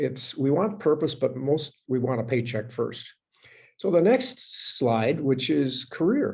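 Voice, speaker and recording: A man speaks at a moderate pace with lively intonation and a somewhat breathy quality. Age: 70s. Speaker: author and speaker on purposeful aging. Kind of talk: book talk with slides. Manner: halting with repetitions and fillers.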